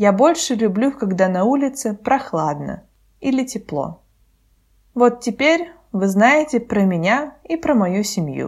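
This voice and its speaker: Very slowly and with long, frequent pauses, a woman speaks in a fairly high voice that swings very widely in pitch. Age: 20s. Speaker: Russian language podcast host for learners. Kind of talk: scripted narration. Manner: slow, clear.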